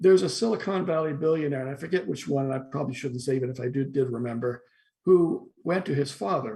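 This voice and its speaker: Speaking very fast with lively intonation, a man has a somewhat breathy, dark, mellow voice at medium pitch. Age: 60s. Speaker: philosophy professor. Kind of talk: interview discussion. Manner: halting with repetitions.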